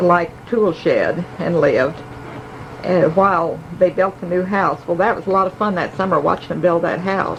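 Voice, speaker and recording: A woman speaks at a moderate pace with a medium pitch and fairly even intonation. Noticeable background noise is present. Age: 80s+. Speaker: family elder sharing memories. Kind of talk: oral history reminiscence. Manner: halting, with fillers.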